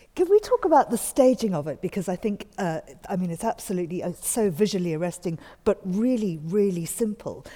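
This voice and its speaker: In a plain, everyday voice, a woman with a medium pitch talks fairly quickly, with lively intonation. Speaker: radio host. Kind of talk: interview. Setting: studio.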